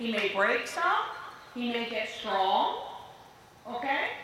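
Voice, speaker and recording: In a room with audible echo and noticeable background noise, a woman speaks in a raised, projected voice. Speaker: dressage clinician. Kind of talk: riding lesson coaching. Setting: arena with headset PA. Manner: animated.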